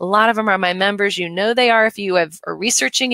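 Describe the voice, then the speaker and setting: Talking at a very fast pace, a woman with a medium pitch uses ordinary pitch variation and a bright, sharp tone. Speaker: home staging trainer and company president. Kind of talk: live webinar presentation. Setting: live stream webinar. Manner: animated.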